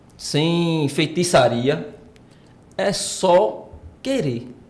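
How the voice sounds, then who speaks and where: A man speaks with lively intonation and a somewhat breathy voice. Room echo is audible. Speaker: podcast co-host, personal trainer. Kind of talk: casual podcast chat. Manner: animated.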